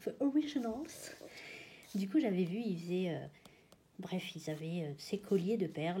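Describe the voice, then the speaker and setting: Somewhat breathy, the voice carries a dark, mellow tone and lively intonation. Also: woman. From Réunion. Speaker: colouring hobbyist youtuber. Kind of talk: casual chat. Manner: halting.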